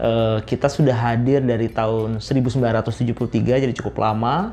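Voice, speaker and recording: Over music in the background, a man speaks at a moderate pace in a medium pitch with fairly even intonation. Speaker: technology executive. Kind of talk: interview testimony. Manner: hesitant, many fillers.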